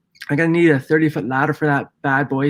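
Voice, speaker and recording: Recorded very cleanly against a silent background, a man talks at a very fast pace with a fairly high pitch and a Canadian accent. His tone is bright and sharp, and his intonation stays monotone and flat. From Ontario, Canada. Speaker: window cleaning and property maintenance business owner. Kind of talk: casual live stream chat. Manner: halting, many fillers and repeats.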